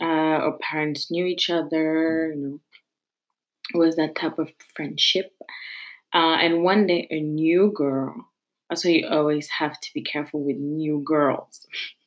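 Speaking with a French accent at a fairly slow pace, a woman uses a very deep, low pitch and fairly even intonation, with long, frequent pauses, on a very clean recording with a silent background. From France, Paris suburbs. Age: 20s. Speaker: podcast host, university student. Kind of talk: personal monologue.

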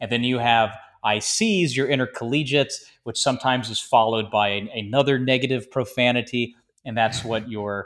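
A man with an American accent has a plain, everyday voice at a medium pitch and a moderate pace. His pitch varies in an ordinary way on a very clean recording with a silent background. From US South, Georgia. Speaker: air force pilot. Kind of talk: interview.

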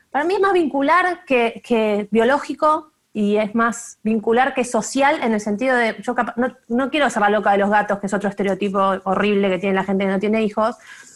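A woman in a Rioplatense accent, fairly high in pitch with ordinary pitch variation, fairly quick and very even in loudness. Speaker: communications professional. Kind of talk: casual chat.

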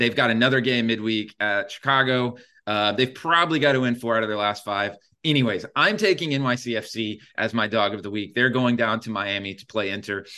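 Fairly quick male speech at a medium pitch, with a bright, sharp tone. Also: ordinary pitch variation. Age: 30s. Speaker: sports betting podcast host. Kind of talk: casual chat. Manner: animated.

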